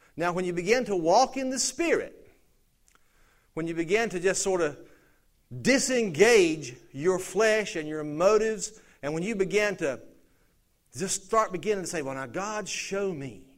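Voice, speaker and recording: Long, frequent pauses and lively intonation from a man with a high pitch and a Southern US accent, at a moderate pace with audible room echo. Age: 50s. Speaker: pastor. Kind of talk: sermon. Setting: church.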